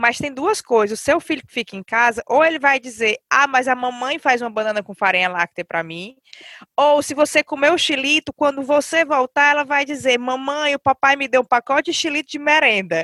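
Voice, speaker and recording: In a dry, close sound with no echo, a raised, projected voice with a bright, sharp tone and lively intonation moves at a fairly quick pace. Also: woman, high pitch for a woman. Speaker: podcast host. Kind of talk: casual chat.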